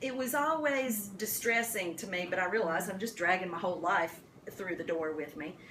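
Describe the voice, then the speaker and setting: A woman with a strong Appalachian accent, very wide pitch swings and a moderate pace, amid noticeable background noise and audible room echo. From US South, Appalachian western North Carolina. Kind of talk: talk to caregivers. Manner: animated.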